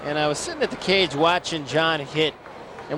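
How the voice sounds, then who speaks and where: A man with a fairly high pitch talks fairly quickly against noticeable background noise. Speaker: sports broadcaster. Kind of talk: baseball play-by-play commentary.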